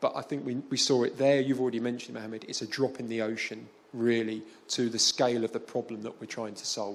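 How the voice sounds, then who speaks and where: A man speaks at a fairly quick pace with a London accent. His medium-pitched voice stays monotone and flat. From London, England. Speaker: development finance specialist. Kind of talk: panel interview. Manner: halting, many fillers.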